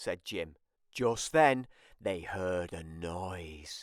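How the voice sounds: A man with a low voice speaks at a very slow pace, his intonation lively.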